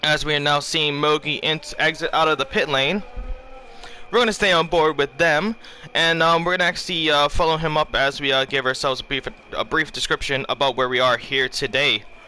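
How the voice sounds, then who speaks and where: Over noticeable background noise, a man speaks at a fairly high pitch with ordinary pitch variation and very even loudness. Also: fairly quick pace. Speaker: esports race commentator. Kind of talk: live commentary. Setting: live stream, hot room. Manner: halting, many fillers.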